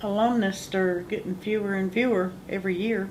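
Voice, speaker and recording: A woman with a North Carolina accent speaks at a moderate pace and a medium pitch, her intonation monotone and flat, with audible room echo. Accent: Southern US (North Carolina). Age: 60s. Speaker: orphanage alumna. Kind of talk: oral history interview.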